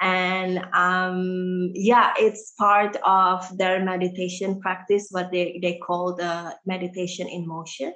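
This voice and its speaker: The speech is very slow, with monotone, flat intonation. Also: woman, medium pitch for a woman. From Indonesia (Jakarta), Indian family. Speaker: yoga teacher. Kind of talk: casual interview chat; guided instruction. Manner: halting, many fillers.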